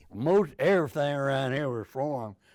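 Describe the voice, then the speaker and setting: This is a man speaking. He has a Texan accent. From Richardson, Texas. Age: 80s+. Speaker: war veteran. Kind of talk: interview answer.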